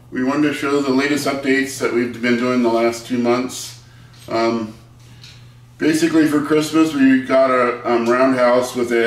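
Audible room echo follows a man whose intonation stays fairly even. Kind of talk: casual vlog chat. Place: home room. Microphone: camera far.

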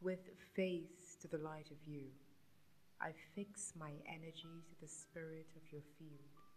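A woman speaks at a very slow pace in a very deep, low pitch, her somewhat breathy voice flat and monotone while its loudness swings widely over light background noise. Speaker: poetry reciter. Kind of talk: poetry reading. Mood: tender, romantic, expressive. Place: home room. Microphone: studio mic.

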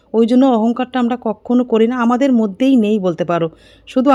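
Her tone is dark and mellow. The woman's pitch is fairly high. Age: 40s. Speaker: family vlogger. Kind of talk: casual vlog narration.

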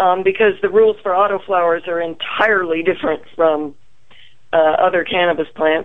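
Here is an unremarkable speaking voice from a woman at medium pitch. She keeps a moderate pace and fairly even intonation. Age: 60s. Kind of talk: interview.

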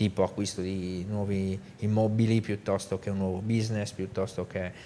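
Fairly low-pitched, a man's voice, a normal speaking voice, at moderate pace with fairly even intonation and light background noise. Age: 50s. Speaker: business executive; guest. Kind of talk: interview. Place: studio. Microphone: lapel.

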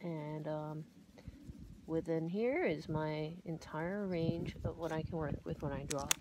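A mumbling woman with a very deep, low pitch, a dark, mellow tone, fairly even intonation and a fairly slow pace, in a dry sound with no echo, over noticeable background noise. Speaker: art teacher. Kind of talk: drawing tutorial talk. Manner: mumbling, hesitant; casual, relaxed. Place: garden. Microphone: phone near.

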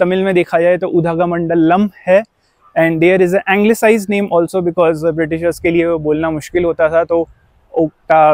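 In a quiet background, a man with a high voice speaks at a fairly slow pace, the sound dry with no echo. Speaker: travel vlogger. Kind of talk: casual vlog chat. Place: open country. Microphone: lapel.

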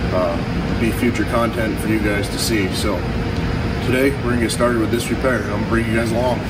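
Loud background noise under a man talking fairly quickly. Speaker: mechanic vlogger. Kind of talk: casual vlog chat. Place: garage. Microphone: camera far.

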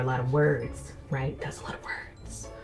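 A woman speaks against light background noise. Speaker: book reviewer. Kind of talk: casual vlog chat. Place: home room.

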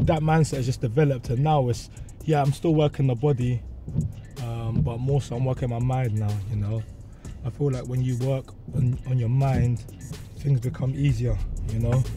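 Over clear background music, a man talks at a moderate pace with ordinary pitch variation and long, frequent pauses, the sound dry with no echo. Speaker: show host. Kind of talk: casual interview answer. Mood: earnest, motivational. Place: car.

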